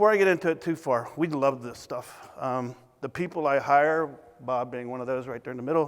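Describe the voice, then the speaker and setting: Mumbling at a moderate pace, a man with a Southern US accent speaks at a fairly high pitch with ordinary pitch variation. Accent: Southern twang. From US South. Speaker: consultant. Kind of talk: conference talk. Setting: stage with audience.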